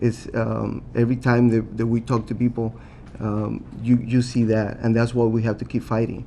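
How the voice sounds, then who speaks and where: A man with a strong Puerto Rican accent talks at a moderate pace in a medium pitch. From Puerto Rico. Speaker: city council candidate. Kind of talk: candidate forum answer. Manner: halting, many fillers and restarts.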